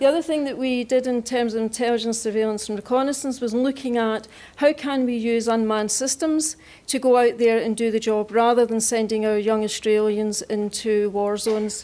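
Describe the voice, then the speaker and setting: Her tone is dark and mellow, her pitch fairly high. The woman talks at a fairly quick pace with fairly even intonation. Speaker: defence scientist. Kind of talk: acceptance speech.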